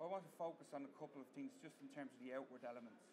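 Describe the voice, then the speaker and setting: A man's fairly even intonation comes through noticeable background noise. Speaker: conference presenter. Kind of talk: lecture. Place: hall. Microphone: camera far.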